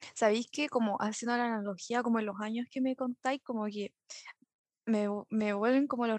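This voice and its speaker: A woman with a Chilean accent at a moderate pace, fairly even intonation, dry close sound with no echo, and a quiet background. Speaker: podcast host. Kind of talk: casual chat.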